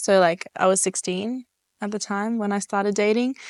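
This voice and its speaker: A woman with an Australian accent, medium-pitched, at a moderate pace, with fairly even intonation, a dry, close sound with no echo and a quiet background. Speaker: interviewee. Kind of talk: casual interview. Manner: hesitant, many fillers.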